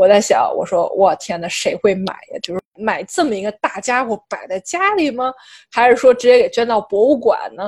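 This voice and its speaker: A high-pitched woman's voice with very wide pitch swings, dry and close with no echo. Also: moderate pace. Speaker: art podcast co-host. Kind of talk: casual chat.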